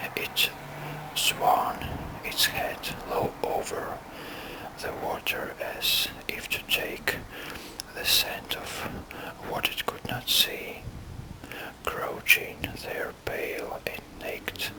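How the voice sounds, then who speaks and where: Very slow whispering broken by long, frequent pauses, noticeable background noise behind it. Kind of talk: book reading. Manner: whispered.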